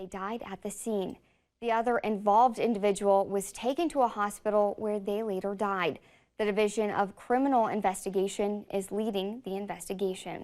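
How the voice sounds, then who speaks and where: Recorded very cleanly against a silent background, a woman with a plain, everyday voice speaks at medium pitch and moderate pace with fairly even intonation. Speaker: TV news anchor. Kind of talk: TV news read. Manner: serious, measured.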